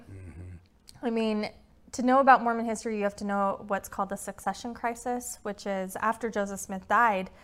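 In a Utah accent, a woman speaks with a fairly high pitch. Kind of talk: interview. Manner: fast talker; animated.

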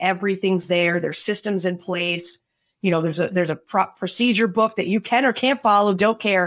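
In an American accent, a woman with an ordinary speaking voice talks at a medium pitch and a fairly quick pace with fairly even intonation on a very clean recording with a silent background. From Connecticut, US Northeast. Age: 50s. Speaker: accounting firm CEO. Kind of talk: casual interview chat. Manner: blunt, no-nonsense attitude.

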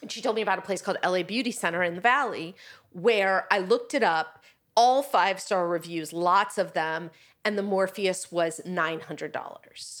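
A woman with a plain, everyday voice, medium pitch and ordinary pitch variation at a moderate pace, on a very clean recording with a silent background. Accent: American. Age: 50s. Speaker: author and publisher. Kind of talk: casual chat.

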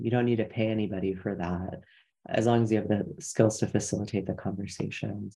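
A man speaks with a fairly low pitch and a dark, mellow tone. Vocal fry runs through his voice. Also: fairly even intonation, fairly quick pace. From Iranian heritage. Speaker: professor. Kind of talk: interview.

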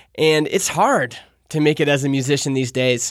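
A man's fairly high voice in a very clean recording with a silent background. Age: 30s. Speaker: podcast host. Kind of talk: casual solo monologue. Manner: animated, laughing.

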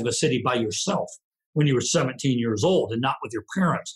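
A man speaks with an American accent in a somewhat breathy voice. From US small town. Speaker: retired marine sergeant major. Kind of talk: interview conversation. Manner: reflective storyteller.

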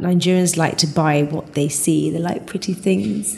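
Talking at a fairly quick pace, a woman is heard over noticeable background noise. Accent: British. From England. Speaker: furniture designer and manufacturer. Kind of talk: interview conversation.

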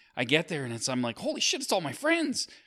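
A very clean recording of a man speaking against a silent background. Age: 40s. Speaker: podcast producer and recovery guest. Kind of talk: casual chat. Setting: church.

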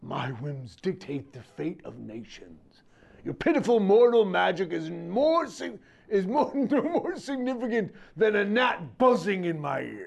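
Using a put-on character voice, a man speaks fairly slowly at a high pitch. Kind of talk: dramatic villain reading. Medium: game stream. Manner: haughty, contemptuous, grandiose.

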